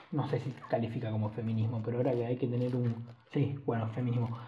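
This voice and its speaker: A man speaks with a Rioplatense accent at a medium pitch and a fairly quick pace. Audible room echo fills the recording. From Argentina. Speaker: podcast host. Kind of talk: solo casual monologue.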